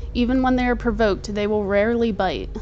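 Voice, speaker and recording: Over music in the background, a woman talks at a fairly quick pace with fairly even intonation. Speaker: snake keeper. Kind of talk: commentary voiceover. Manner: occasional stutter.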